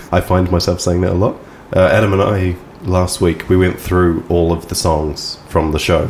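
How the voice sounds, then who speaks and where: A man with a New Zealand accent, a very deep, low pitch, a moderate pace and very even loudness. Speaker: podcast host and songwriter. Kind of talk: casual chat.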